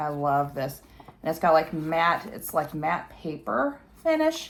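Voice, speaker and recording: Fairly low-pitched woman at a very slow pace. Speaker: retro game YouTuber. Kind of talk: casual talk to camera.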